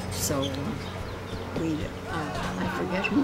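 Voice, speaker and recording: Over loud background noise, the speaker talks at a fairly slow pace. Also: woman. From Canada. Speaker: elderly interviewee. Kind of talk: interview answer. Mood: warm, nostalgic storytelling. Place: garden. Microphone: camera far.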